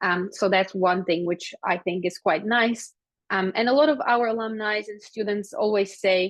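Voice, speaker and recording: A woman talks at a moderate pace with a medium pitch. Her pitch varies in an ordinary way. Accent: Slovak. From Slovakia. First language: Slovak. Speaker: psychology lecturer. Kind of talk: webinar presentation. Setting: online webinar. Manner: hesitant, many fillers.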